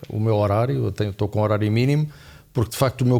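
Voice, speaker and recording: The recording is very clean with a silent background. A man speaks at a medium pitch with a dark, mellow tone and fairly even intonation. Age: 60s. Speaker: finance professor and markets expert. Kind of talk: podcast interview. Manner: hesitant, many fillers.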